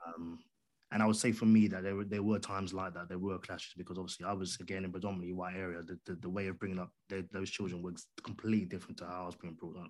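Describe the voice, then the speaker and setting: A man's very deep, low voice in a London accent, monotone and flat, at a very fast pace over a very clean recording with a silent background. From London, England. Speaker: podcaster and audio drama creator. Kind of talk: interview.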